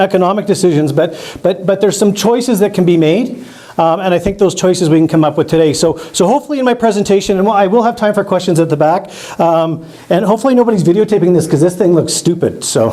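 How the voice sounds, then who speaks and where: With an Albertan accent, a man talks very fast in an animated tone, high-pitched with ordinary pitch variation and very even loudness, over noticeable background noise. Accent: Canadian (Alberta). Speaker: biologist and rural politician. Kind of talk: public presentation. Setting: community hall with audience.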